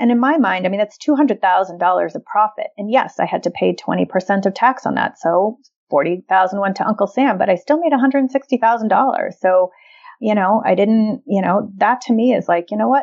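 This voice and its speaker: Here is an ordinary speaking voice from a woman with a fairly high pitch. She moves at a moderate pace with lively intonation. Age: 50s. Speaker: early retiree and real estate investor. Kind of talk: interview.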